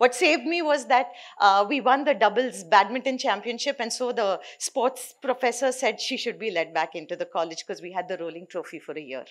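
A woman with an Indian accent and a fairly high pitch, at a fairly quick pace with very wide pitch swings and hardly any pauses, over a quiet background. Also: big swings in loudness. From South India. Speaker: nonprofit founder. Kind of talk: conference talk. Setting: stage with audience. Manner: many fillers. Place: hall. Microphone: podium.

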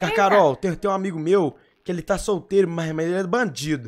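A man's high voice, quick-paced and lively in intonation, over light background noise. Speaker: game streamer. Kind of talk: live gaming roleplay stream. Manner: animated. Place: home room. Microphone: headset.

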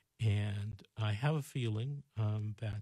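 Over a quiet background, a man speaks with a somewhat breathy, dark, mellow tone and ordinary pitch variation in a dry sound with no echo. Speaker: radio show host, attorney. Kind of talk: call-in show advice talk. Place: studio. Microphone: studio mic.

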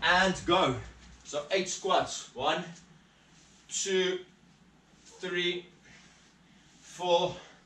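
Spoken very slowly in a flat monotone, the voice carries an audible room echo. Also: man, high pitch for a man. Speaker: fitness instructor. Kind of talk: workout instruction. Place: garage. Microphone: camera far.

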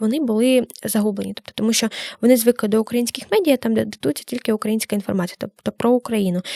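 The tone is dark and mellow, with ordinary pitch variation. The sound is dry and close, without echo. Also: woman. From Ukraine, Kamianske. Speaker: student journalist. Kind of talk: casual interview. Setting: studio.

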